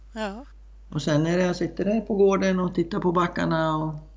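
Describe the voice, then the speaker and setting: At a moderate pace, a man talks with an Icelandic accent. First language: Icelandic (speaking Swedish). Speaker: horse trainer and rider. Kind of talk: interview. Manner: halting, many fillers.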